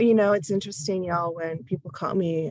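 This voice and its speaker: A woman speaks at a fairly quick pace in a fairly low pitch. Her intonation stays fairly even. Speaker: teacher and presenter. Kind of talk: training presentation. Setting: online training. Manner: fast.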